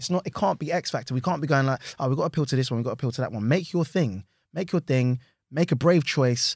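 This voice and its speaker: Someone with a London accent talks at a very fast pace, somewhat breathy, with ordinary pitch variation. The sound is dry and close with no echo, on a very clean recording with a silent background. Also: man, fairly high pitch for a man. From London, Hackney. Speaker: actor and comedy writer. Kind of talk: casual interview chat. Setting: studio.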